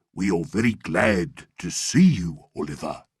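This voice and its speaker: A man growls in a put-on character voice with a very deep, low pitch. His intonation is lively and his pace moderate. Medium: read story. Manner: smooth, fawning.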